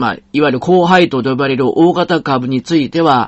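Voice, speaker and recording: A man speaks with a Kansai accent. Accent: Kansai Japanese. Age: 50s. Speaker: podcast host, investor and financial planner. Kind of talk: solo podcast monologue.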